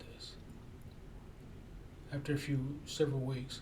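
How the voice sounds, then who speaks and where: In a space with audible room echo and noticeable background noise, a man speaks at a fairly high pitch. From Japan. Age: 60s. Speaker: freelance writer and YouTuber. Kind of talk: casual self-introduction monologue. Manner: halting, many repetitions and fillers.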